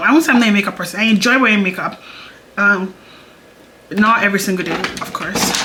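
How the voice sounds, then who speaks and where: A woman speaks at a very fast pace in a medium pitch. The room echo is audible and there is noticeable background noise. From Nigeria. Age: 20s. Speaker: beauty YouTuber. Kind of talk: casual chat. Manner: chatty, hesitant with fillers.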